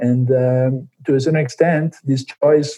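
A man talks at a moderate pace, his tone dark and mellow and his voice somewhat breathy. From Milan, Italy. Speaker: Olympic runner. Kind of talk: interview.

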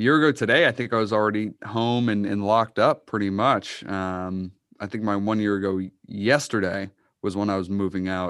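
A man with an American accent and a plain, everyday voice speaks at a fairly low pitch and a fairly quick pace, with fairly even intonation. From Massachusetts (Uxbridge). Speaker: sports podcast co-host. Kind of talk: casual chat. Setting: video call.

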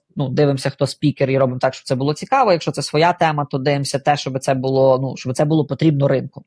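A man's fairly high-pitched, somewhat breathy voice with fairly even intonation, in a dry, close sound with no echo. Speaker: CEO of a product design company. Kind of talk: casual interview.

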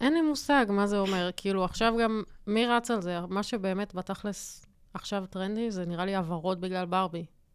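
In an unremarkable speaking voice, a woman talks at a fairly quick pace with ordinary pitch variation on a very clean recording with a silent background. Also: medium pitch for a woman. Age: 30s. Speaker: graphic designer podcast co-host. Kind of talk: casual chat. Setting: studio.

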